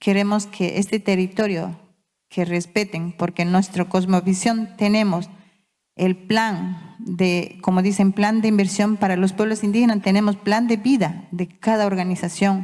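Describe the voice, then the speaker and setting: A woman with a dark, mellow tone talks at a fairly slow pace in a monotone, flat intonation. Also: medium pitch for a woman, very even loudness. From Ecuador, Amazon (Yasuní), Waorani people. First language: Waorani (Wao Tededo) (speaking Spanish). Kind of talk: conference speech. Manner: halting.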